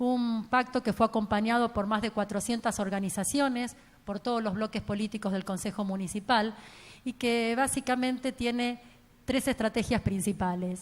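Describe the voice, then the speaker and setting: On a very clean recording with a silent background, a woman speaks at a moderate pace. She has an ordinary speaking voice, a fairly high pitch and fairly even intonation. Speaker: transport engineer and professor. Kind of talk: conference talk.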